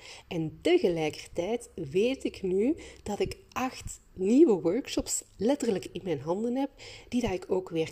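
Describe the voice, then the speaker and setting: A woman's medium-pitched, dark, mellow and somewhat breathy voice in a Flemish accent, very slow, with very wide pitch swings. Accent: Flemish Dutch. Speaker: creativity facilitator and podcast host. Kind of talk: solo podcast monologue. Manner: animated.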